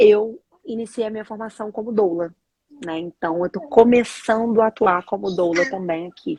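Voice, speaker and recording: A woman with a Rio de Janeiro accent speaks at a moderate pace and a fairly high pitch, her tone dark and mellow with ordinary pitch variation. Her loudness swings widely, and the sound is dry and close with no echo. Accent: Rio de Janeiro (carioca) accent, noticeable. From Brazil, Rio de Janeiro. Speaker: doula and samba teacher. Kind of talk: casual interview chat. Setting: live video stream.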